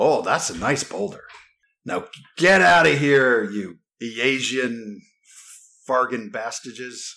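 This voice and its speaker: A man uses a put-on character voice at a medium pitch. His delivery has long, frequent pauses. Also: fairly slow pace. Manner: hostile, threatening.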